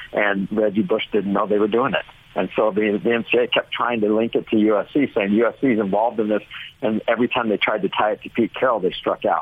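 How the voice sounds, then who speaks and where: Fairly low in pitch, a man talks at a fairly quick pace in an ordinary speaking voice, with very even loudness and fairly even intonation. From Orange County, California. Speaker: college sports enforcement official. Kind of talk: radio interview.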